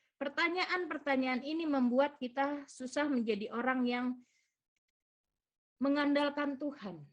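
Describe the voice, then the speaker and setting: Her voice is high for a woman, with ordinary pitch variation and a slight Papuan accent. She talks at a fairly slow pace, with long, frequent pauses. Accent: slight Papuan accent after visiting home. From Papua, Indonesia. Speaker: lay preacher at prayer meeting. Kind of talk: sermon. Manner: conversational, uses gitu.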